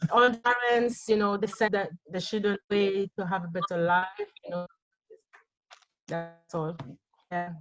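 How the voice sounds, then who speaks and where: A woman with a French Caribbean accent speaks at a fairly slow pace in a medium pitch, her intonation fairly even and her speech broken by long, frequent pauses. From Guadeloupe. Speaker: musician. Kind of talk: interview.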